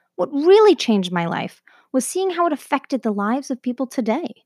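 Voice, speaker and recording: With a Canadian accent, a woman speaks in a dark, mellow tone with very wide pitch swings, the sound dry and close with no echo on a very clean recording with a silent background. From Canada. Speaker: podcast host. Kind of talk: scripted narration.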